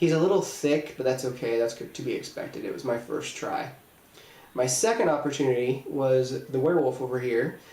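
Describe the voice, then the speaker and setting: Audible room echo surrounds a man with an American accent who talks at a medium pitch and a fairly quick pace with ordinary pitch variation. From Indiana, Terre Haute. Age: 20s. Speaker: special effects makeup artist. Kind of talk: audition video monologue.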